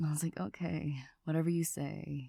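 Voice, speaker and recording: A soft-spoken woman's very deep, low voice, dark and mellow, somewhat breathy, with ordinary pitch variation, in a dry, close sound with no echo. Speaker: ASMR creator. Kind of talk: soft-spoken ASMR ramble.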